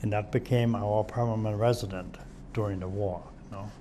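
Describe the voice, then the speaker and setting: The man speaks in a monotone, flat intonation. There is audible room echo. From Germany, Hamburg area. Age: 70s. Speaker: war-era civilian witness. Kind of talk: oral history interview. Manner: halting, self-correcting.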